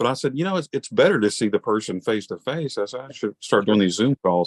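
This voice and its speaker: A man talks at a fairly quick pace. He has a strong Southern US accent. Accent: Southern US, he says thick. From Alabama. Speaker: podcast interviewer. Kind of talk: casual interview. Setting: video call. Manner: animated.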